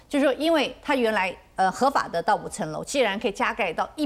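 Her intonation is lively, and this woman's pitch runs fairly high. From Taiwan. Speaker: city councillor. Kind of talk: TV panel discussion. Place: studio. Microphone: lapel.

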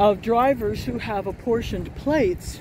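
With noticeable background noise and a dry sound free of echo, a woman speaks at a fairly slow pace with ordinary pitch variation. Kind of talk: casual vlog chat. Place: street. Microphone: phone near.

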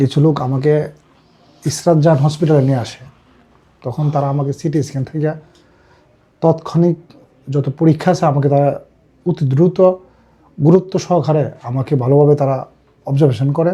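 A man's fairly high voice, dark and mellow in tone and somewhat breathy, keeps a fairly even intonation. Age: 30s. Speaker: patient. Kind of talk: testimony.

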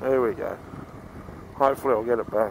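An Australian-accented man speaks at a moderate pace, the sound dry with no echo and light background noise. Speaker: motorcycle dealer and vlogger. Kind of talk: casual ride-along vlog narration. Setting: outdoors riding a motorcycle. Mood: relaxed, joking. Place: motorbike. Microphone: helmet.

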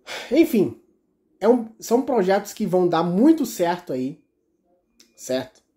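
A man's dark, mellow voice at a very slow pace, long and frequent pauses, very wide pitch swings, against a quiet background. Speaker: YouTuber covering rail transit news; rail transport news vlogger. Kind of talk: casual vlog monologue. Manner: halting, many repetitions. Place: home room. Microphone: phone near.

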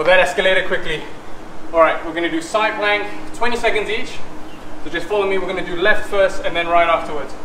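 A raised, projected voice races along at a very fast pace with fairly even intonation over noticeable background noise. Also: man, high pitch for a man. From Malaysia. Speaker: fitness instructor. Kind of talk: guided high-intensity workout class, barking cues and rep counts. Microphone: camera far.

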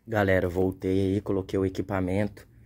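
Fairly quick speech from a man with a fairly low pitch and a dark, mellow tone over light background noise. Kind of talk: casual vlog chat. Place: garden. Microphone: phone near.

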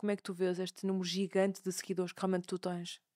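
A woman talks very fast against a quiet background. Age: 20s. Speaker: podcast host and fashion brand founder; podcast host. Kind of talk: casual interview chat; show introduction. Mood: warm, enthusiastic. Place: studio. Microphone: studio mic.

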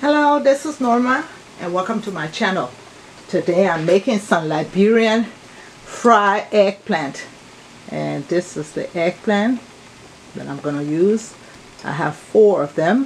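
Light background noise sits under speech at a fairly slow pace with long, frequent pauses. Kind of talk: cooking tutorial. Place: kitchen. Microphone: phone near.

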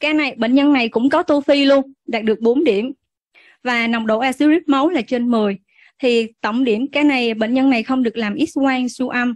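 A woman speaks at a moderate pace in a high voice with fairly even intonation, the sound dry and close with no echo. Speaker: physician. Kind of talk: medical lecture. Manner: halting, many filler sounds; formal.

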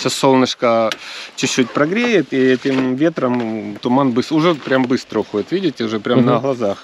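A man speaks at a fairly quick pace with ordinary pitch variation. The sound is dry with no echo, and there is light background noise. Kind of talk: interview answer. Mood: friendly, relaxed. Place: open country. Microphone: phone near.

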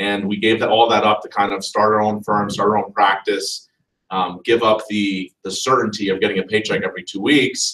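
The speaker is male. He talks in a fairly low register. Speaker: lawyer presenting a talk. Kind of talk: lecture. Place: classroom. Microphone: camera far.

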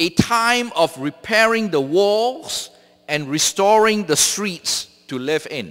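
Over a quiet background, a man with a high voice talks very slowly, his intonation lively. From Malaysia. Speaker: theology professor and seminary president; theology professor. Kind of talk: sermon. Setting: church. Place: church. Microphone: podium.

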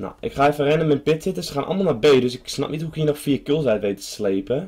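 Somewhat breathy, a man with a fairly high pitch talks at a very fast pace. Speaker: gamer video creator. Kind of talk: casual gameplay commentary. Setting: home recording while gaming. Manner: casual, excitable.

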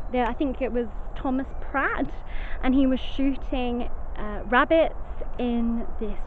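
Very slowly, a woman speaks with ordinary pitch variation, the sound dry with no echo and light noise behind her. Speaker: ghost vlogger. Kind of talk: casual vlog chat. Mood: cheerful, laughing. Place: forest. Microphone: phone near.

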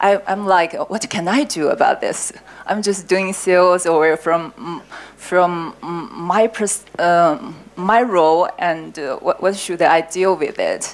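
A woman's very slow speech with a Chinese accent and ordinary pitch variation. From China. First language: Mandarin Chinese. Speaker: sales operations director. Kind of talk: panel discussion. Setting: stage with audience. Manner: halting, hesitant in English. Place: hall. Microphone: handheld.

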